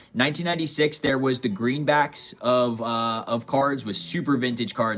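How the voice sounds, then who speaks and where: Music in the background behind a man speaking at a fairly quick pace, with ordinary pitch variation. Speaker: card collector livestreamer. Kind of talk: live stream chat. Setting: live stream. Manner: casual, chatty.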